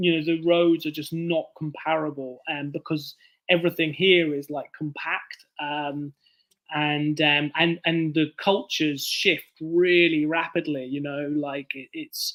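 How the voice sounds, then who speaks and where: A man with a southern English accent speaks at a fairly high pitch and a fairly slow pace. His intonation is monotone and flat, on a very clean recording with a silent background. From southern England, Bournemouth. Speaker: author. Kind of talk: casual chat.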